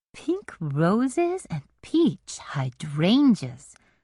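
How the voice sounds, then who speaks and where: A put-on character voice with a warm tone sits at a middle pitch. The pace is very slow. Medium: read story. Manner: warm, cooing.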